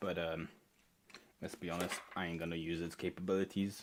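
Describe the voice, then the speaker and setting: A man with a non-native accent speaks at a very deep, low pitch in monotone, flat intonation. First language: not English. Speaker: maker livestreamer. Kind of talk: casual chat. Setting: live stream.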